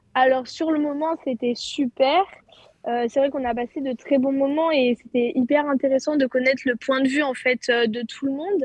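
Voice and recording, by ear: A woman's high voice at a moderate pace, fairly even in intonation, with a dry, close sound and no echo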